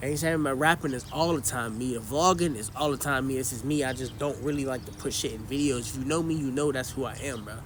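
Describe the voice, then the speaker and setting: A man talks at a very fast pace with hardly any pauses. His medium-pitched voice has fairly even intonation, and the room echo is audible. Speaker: YouTuber and rapper. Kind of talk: casual vlog monologue.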